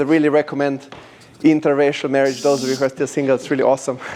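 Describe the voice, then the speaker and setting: The speaker is a man. He talks with a Slovenian accent. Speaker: language company founder. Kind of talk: presentation to audience. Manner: animated.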